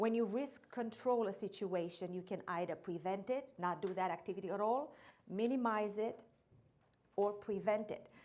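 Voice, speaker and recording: A woman speaks at a moderate pace with a slight non-native accent. Her pitch is medium, with ordinary variation. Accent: slight foreign. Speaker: insurance account executive. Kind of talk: training seminar presentation.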